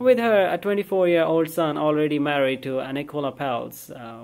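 The intonation is lively. It belongs to a man's voice. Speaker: news reader vlogger. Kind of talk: reading entertainment news. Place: home room. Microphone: phone near.

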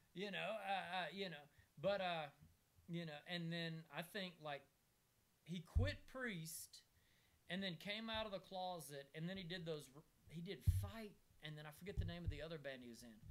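A man's high voice at a moderate pace, with long, frequent pauses and ordinary pitch variation. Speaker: comedian and podcast host. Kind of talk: casual chat. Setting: video recording with co-hosts in a room. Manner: animated. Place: home room. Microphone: camera far.

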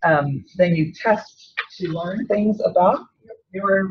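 A woman talks in a somewhat breathy voice with ordinary pitch variation. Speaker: seminar speaker. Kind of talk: lecture. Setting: seminar room with audience.

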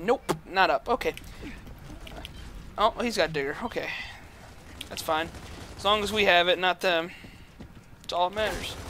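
With a raised, projected voice, a man speaks at a high pitch and moderate pace, pausing long and often. Noticeable background noise sits behind him. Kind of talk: gaming live commentary. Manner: tired, monotone.

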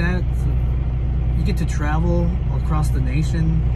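A man is talking. Loud background noise fills the clip. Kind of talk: casual vlog chat. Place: car. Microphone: phone near.

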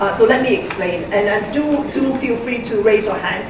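Over noticeable background noise and audible room echo, a woman talks at a moderate pace with ordinary pitch variation. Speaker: keynote speaker. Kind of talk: lecture. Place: hall.

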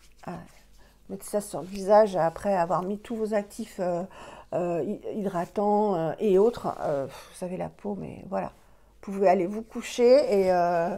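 A woman talks at a moderate pace in a dark, mellow tone. Her pitch varies in an ordinary way, while her loudness swings widely. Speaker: beauty vlogger. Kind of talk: product review tutorial. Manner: hesitant, many fillers. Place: home room. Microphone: phone near.

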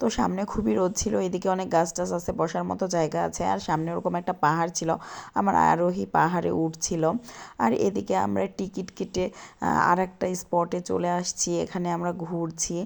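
With vocal fry and ordinary pitch variation, a woman speaks at a fairly low pitch in a very clean recording with a silent background. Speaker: family vlogger. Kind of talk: vlog narration. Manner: casual.

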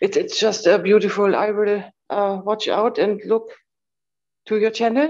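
At a fairly slow pace, a woman is talking. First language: non-native English speaker. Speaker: fellowship participant. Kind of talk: testimony. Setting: video call. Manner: halting. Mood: warm, grateful. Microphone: video call.

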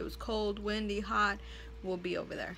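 Moderate pace from a woman, with light background noise. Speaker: vlogger. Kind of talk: casual vlog chat. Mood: relaxed, chatty. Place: home room. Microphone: phone near.

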